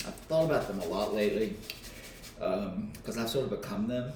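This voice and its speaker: A man with an American accent at a fairly quick pace, ordinary pitch variation, audible room echo and noticeable background noise. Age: 60s. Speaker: author. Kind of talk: casual vlog, cooking while talking about life. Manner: casual, hesitant with fillers.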